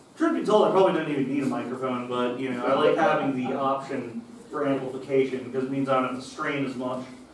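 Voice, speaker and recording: Amid noticeable background noise and audible room echo, a man talks at a very fast pace with fairly even intonation. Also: medium pitch for a man. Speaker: lay preacher. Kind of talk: sermon. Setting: church. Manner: casual, conversational; loud.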